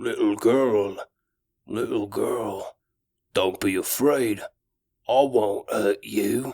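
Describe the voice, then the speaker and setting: A man uses a raspy, put-on character voice at a medium pitch. He goes at a very slow pace with long, frequent pauses. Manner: malevolent, feigning gentleness.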